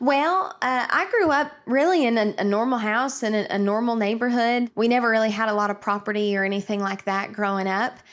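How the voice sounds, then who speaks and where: This woman speaks with an East Tennessee accent and a fairly high pitch. She talks with hardly any pauses. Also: ordinary pitch variation, fairly quick pace. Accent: East Tennessee Southern. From East Tennessee (Karns, near Knoxville). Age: 20s. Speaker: country singer. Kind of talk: interview. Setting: video call from home kitchen.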